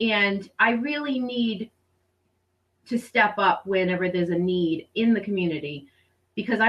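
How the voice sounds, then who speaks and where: Lively intonation marks this woman's fairly high-pitched voice, in an American accent. She keeps a moderate pace. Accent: Rhode Island and Boston. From Rhode Island, US. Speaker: homeschooling mother and program director. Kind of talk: interview testimony.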